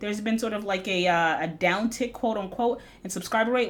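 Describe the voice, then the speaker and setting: With noticeable background noise behind her, a woman talks at a very fast pace with ordinary pitch variation. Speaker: stock trading educator. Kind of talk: market analysis video recap. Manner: casual, with fillers.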